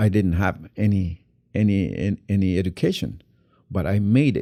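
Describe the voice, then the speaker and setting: A man speaks in a fairly low voice with a dark, mellow tone and a Guatemalan accent. The recording is very clean, with a silent background. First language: Q'anjob'al Mayan. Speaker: actor. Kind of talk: interview. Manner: halting, many repetitions.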